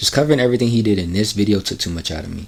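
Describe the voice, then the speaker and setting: A man talks at fairly low pitch. His pitch varies in an ordinary way. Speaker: anime commentary youtuber. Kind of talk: video commentary narration. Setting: small room, college dorm. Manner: casual slangy. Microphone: cheap mic, subpar equipment.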